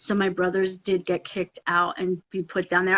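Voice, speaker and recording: In a Philadelphia accent, a woman speaks at a medium pitch with an animated tone. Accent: Philadelphia American. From US, Philadelphia area. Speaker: Broadway actress. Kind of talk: casual chat. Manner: loud.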